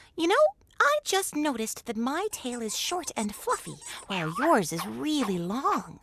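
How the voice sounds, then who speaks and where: At a moderate pace, someone talks in a cartoonish character voice. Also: female-sounding voice, high pitch for a woman. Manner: sly, playful.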